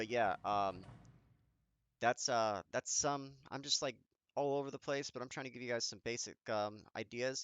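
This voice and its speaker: Using a plain, everyday voice, a man of medium pitch speaks at a moderate pace with fairly even intonation. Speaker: gaming youtuber. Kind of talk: tutorial. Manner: casual with many fillers.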